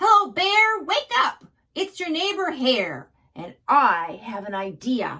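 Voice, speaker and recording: Using a put-on character voice, a woman speaks at a high pitch and a fairly slow pace. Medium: read story. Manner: glib, persuasive.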